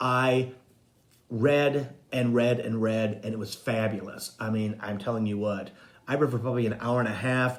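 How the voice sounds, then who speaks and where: Room echo is audible as a man speaks at a medium pitch. His pace is moderate. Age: 60s. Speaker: psychic medium and spiritual coach. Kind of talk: casual live-stream monologue.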